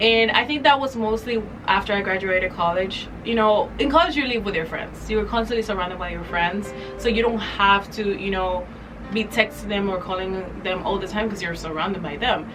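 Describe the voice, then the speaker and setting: Music plays in the background as a woman speaks. She talks at a fairly quick pace with ordinary pitch variation. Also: medium pitch for a woman. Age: 20s. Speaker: vlogger. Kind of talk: casual talk to camera.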